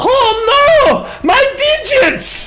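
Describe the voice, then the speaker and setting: An extremely high-pitched put-on character voice comes through over loud background noise. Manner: silly, comic.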